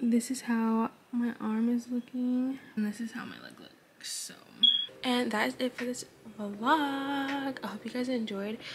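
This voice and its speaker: Against noticeable background noise, a woman with a high pitch speaks fairly slowly in a monotone, flat voice with big swings in loudness. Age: 20s. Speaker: beauty vlogger. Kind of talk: casual vlog talk. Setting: at home early morning. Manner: quiet.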